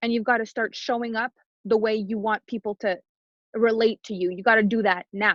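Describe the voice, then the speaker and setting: A woman with a French Canadian accent speaks at a fairly high pitch. Her pace is moderate and her intonation fairly even. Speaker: business coach. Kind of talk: podcast interview.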